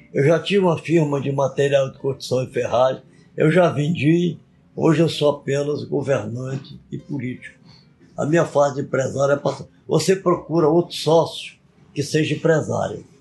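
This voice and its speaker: Over music in the background, the speech moves at a moderate pace with fairly even intonation. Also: man, fairly high pitch for a man. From Brazil, Acre (Tarauacá). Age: 80s+. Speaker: retired politician and author. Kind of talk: interview.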